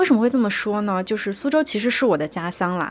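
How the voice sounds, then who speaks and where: Ordinary pitch variation in a plain, everyday voice. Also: woman. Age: 20s. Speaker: podcast host. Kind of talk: solo monologue. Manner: relaxed, conversational.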